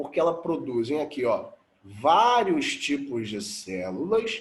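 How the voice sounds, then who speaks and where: Audible room echo surrounds a man with a Brazilian accent. He speaks at a fairly slow pace. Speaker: biology teacher. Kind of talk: lecture.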